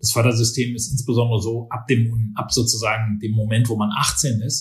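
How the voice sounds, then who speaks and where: A man's somewhat breathy voice at medium pitch, monotone with flat intonation, at a fairly quick pace. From Berlin, Germany. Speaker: business professor. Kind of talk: interview. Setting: office.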